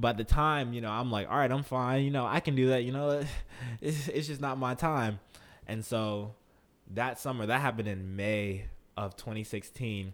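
A man with an American accent speaks at a medium pitch with ordinary pitch variation, in an ordinary speaking voice. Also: moderate pace. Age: 20s. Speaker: professional athlete. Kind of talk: casual interview.

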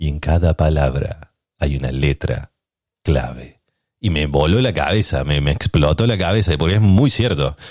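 A man talks at a fairly slow pace in a very deep, low voice with vocal fry. His intonation is lively. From Argentina, Córdoba. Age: 30s. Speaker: podcast host. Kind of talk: casual chat.

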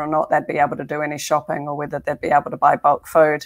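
In a New Zealand accent, a woman with a very deep, low pitch talks at a very fast pace. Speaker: tech executive. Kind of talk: casual chat.

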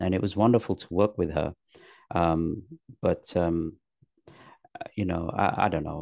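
With a London accent, a man speaks at a very deep, low pitch and fairly even intonation. His pace is moderate, broken by long, frequent pauses. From England, north then London. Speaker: actor, comedian and author. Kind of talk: interview. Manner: halting, many fillers.

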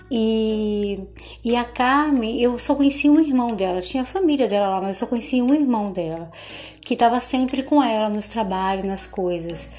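Her voice is unremarkable, fairly high in pitch, with lively intonation. The woman speaks at a moderate pace. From Bahia, Recôncavo Baiano, Brazil. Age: 50s. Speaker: podcaster telling her life story. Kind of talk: personal storytelling monologue.

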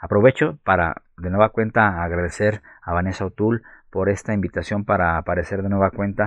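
A plain, everyday voice with fairly even intonation, a dry, close sound with no echo, and a quiet background. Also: man. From Guadalajara, Mexico. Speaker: librarian, actor and storyteller. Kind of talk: recorded author statement.

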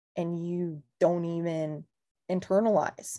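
A woman with a Californian accent speaks in a fairly low voice. The recording is very clean and the background silent. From Southern California, Ventura County. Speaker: real estate agent. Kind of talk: casual chat.

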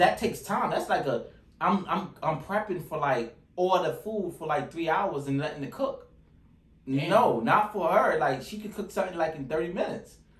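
Lively intonation marks a man's high-pitched voice, heard with audible room echo. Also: moderate pace. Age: 30s. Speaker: podcast host. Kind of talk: casual chat. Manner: animated.

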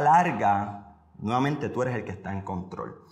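This man's voice sits at a medium pitch and carries lively intonation. He speaks fairly slowly, with audible room echo around him. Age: 20s. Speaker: podcast host and motivational speaker. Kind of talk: motivational monologue.

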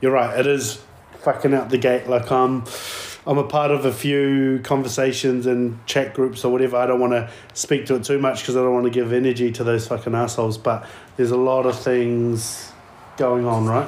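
A man with a New Zealand accent talks at a fairly quick pace and medium pitch. His intonation is monotone and flat, his loudness very even. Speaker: podcast host. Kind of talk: casual chat. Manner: casual.

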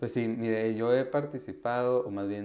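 This man's voice has a dark, mellow tone. His pitch variation is ordinary. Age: 20s. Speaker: university student and youth activist. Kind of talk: interview. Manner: hesitant, many fillers.

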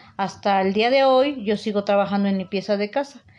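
An unremarkable speaking voice with ordinary pitch variation. The pace is fairly quick. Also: woman. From Mexico, Puebla state (Teziutlán). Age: 50s. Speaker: house cleaner. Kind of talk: interview testimony.

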